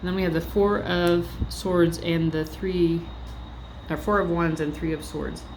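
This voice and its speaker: A moderate-paced female speaker in a space with audible room echo. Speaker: tarot reader. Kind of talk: tarot reading. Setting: library. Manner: casual, filler-heavy.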